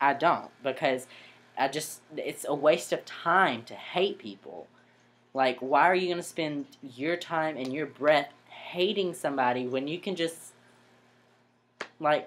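The speech moves at a fairly slow pace with long, frequent pauses, big swings in loudness and ordinary pitch variation. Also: man. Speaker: vlogger. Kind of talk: casual vlog chat. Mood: earnest, slightly defensive. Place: home room. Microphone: webcam.

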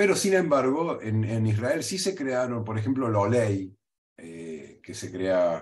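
A man speaks at a very slow pace with very wide pitch swings and big swings in loudness. The background is quiet. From Argentina, Córdoba; Argentina. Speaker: history professor. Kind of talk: interview. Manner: halting, frequent fillers and repeats. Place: home room. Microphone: webcam.

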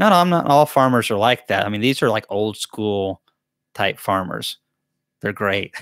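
A man with a Southern US accent speaks at a moderate pace, fairly low in pitch, with lively intonation. The sound is dry with no echo against a quiet background. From US South. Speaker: beekeeper and channel host; beekeeper hosting live Q&A. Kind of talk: live Q&A chat. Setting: livestream from a laptop. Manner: casual, chatty. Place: home room. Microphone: studio mic.

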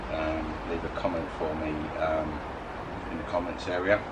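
A man against noticeable background noise. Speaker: food reviewer. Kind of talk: casual vlog chat. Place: garden.

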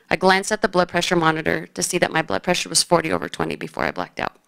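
Here a woman speaks at a very fast pace. The background is quiet. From Phoenix, Arizona. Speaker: high school basketball coach and cancer survivor. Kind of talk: personal story told to an audience. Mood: serious, reflective. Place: hall. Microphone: podium.

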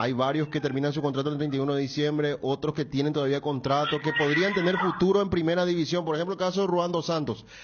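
Against noticeable background noise, a man talks at a fairly quick pace and fairly high pitch with ordinary pitch variation. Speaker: sports radio host. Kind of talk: casual sports talk. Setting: radio studio.

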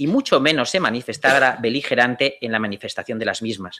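His pitch rises and falls in an ordinary way. The man's tone is bright and sharp. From Spain. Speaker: lawyer; conference panelist. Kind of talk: conference talk. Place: hall. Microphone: podium.

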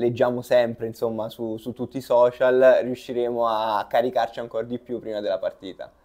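Dark, mellow male speech over a quiet backdrop. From southern Italy, Salerno; Italy. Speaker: water polo player. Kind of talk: interview. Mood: relaxed, smiling. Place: office. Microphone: lapel.

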